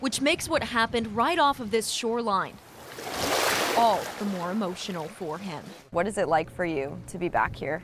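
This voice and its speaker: A woman's medium-pitched voice with very wide pitch swings at a moderate pace, amid noticeable background noise. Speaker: TV news reporter and anchor. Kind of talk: TV news report.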